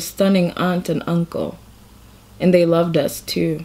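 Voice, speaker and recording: A woman speaks. Her pitch is fairly low. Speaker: reader of a short story. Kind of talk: reading aloud of fiction. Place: home room. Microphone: phone near.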